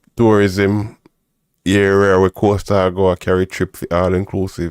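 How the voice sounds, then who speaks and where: A man talks in a Jamaican accent with a very deep, low pitch. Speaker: livestream host. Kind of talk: casual commentary on news clips. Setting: livestream. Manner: animated.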